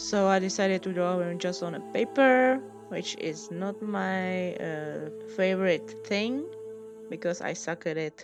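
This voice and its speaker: A woman with a non-native accent at a fairly slow pace, music playing in the background. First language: non-native English speaker. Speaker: hobby artist. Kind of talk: casual voice-over commentary on drawing video.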